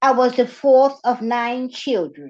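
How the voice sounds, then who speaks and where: Against a quiet background, a woman with a Southern US accent speaks at a high pitch. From North Carolina. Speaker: nonprofit executive. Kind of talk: prepared talk.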